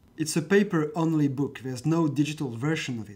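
A man with a French accent speaks at a fairly high pitch, sounding somewhat breathy. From France. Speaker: philosophy teacher. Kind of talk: scripted narration.

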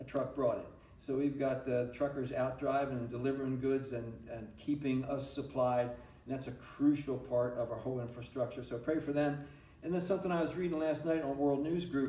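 Audible room echo surrounds a man who talks at a fairly quick pace with fairly even intonation. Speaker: pastor. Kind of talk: sermon. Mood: earnest, calm. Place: church.

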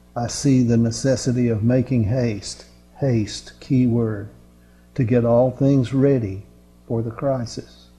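A man's flat, monotone voice at a fairly slow pace, with faint music in the background. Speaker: preacher. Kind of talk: sermon. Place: classroom.

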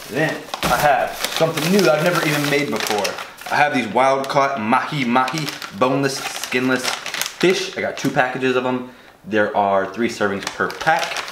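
A man at a moderate pace with ordinary pitch variation, over noticeable background noise. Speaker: vlogger. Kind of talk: casual vlog chat. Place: kitchen. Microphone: camera far.

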